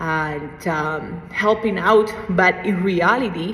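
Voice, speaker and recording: A woman with medium pitch speaks over noticeable background noise. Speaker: fitness instructor. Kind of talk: tutorial. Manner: casual, hesitant with fillers.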